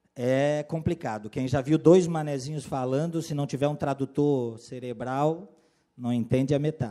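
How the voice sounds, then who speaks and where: A man with a Florianópolis accent has a dark, mellow tone and a fairly high pitch with ordinary pitch variation. The recording is very clean, with a silent background. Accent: Florianópolis (manezinho). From Florianópolis, Santa Catarina, southern Brazil. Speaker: compliance consultant and lawyer, workshop speaker. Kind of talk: lecture.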